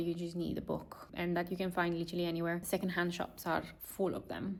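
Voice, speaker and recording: The speaker has a Romanian accent. The pace is fairly quick. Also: woman. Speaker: lifestyle vlogger. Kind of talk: vlog talking to camera.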